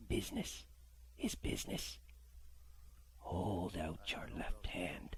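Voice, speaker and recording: A man whispers in a put-on character voice with a sing-song lilt. He speaks at a very slow pace. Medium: read story. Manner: odd sing-song, false politeness over menace.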